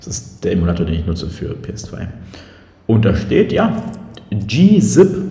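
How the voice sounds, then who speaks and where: A man speaks fairly slowly at a fairly low pitch. Audible room echo and noticeable background noise fill the recording. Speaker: podcast co-host. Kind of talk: casual chat. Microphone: room echo, not the proper microphone.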